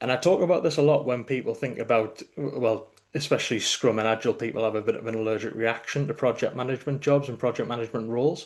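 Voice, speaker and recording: Speaking with a northeast English accent, a man goes at a very fast pace with a medium pitch and fairly even intonation. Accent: northeast English (Geordie-like), noticeable. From northeast England. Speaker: delivery manager in tech consulting. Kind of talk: live online meetup conversation.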